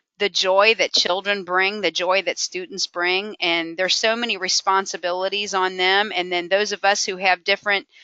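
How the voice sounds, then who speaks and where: At a moderate pace, a woman with a medium pitch talks in an ordinary speaking voice. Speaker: podcast host, motivational speaker. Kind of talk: podcast interview host.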